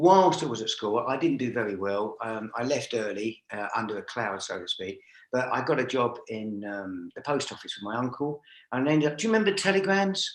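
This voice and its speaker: This man talks at a fairly quick pace with a London accent. His medium pitch makes very wide swings. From North London, Stoke Newington. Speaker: driving instructor trainer. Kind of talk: interview. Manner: hesitant, many fillers.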